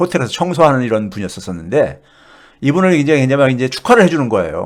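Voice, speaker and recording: Speaking at a very fast pace and a fairly high pitch, a man swings his pitch very widely. The recording is very clean with a silent background. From South Korea. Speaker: economics professor. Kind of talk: casual storytelling talk. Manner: halting, many fillers.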